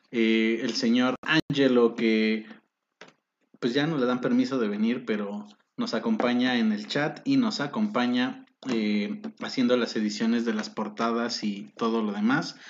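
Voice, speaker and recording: A man with a plain, everyday voice speaks fairly slowly at a medium pitch, with fairly even intonation. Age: 20s. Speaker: podcast host. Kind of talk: casual chat. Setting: home studio.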